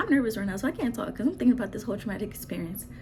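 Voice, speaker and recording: A soft-spoken woman talks with ordinary pitch variation, with noticeable background noise and audible room echo. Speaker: vlogger. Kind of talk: personal storytelling. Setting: at home, baby sleeping nearby. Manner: animated.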